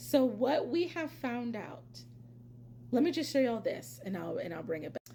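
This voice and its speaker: A woman with an American accent speaks at a moderate pace in an animated tone. Noticeable background noise is present. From Pennsylvania. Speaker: reality TV commentator, YouTuber. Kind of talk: casual vlog commentary. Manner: loud.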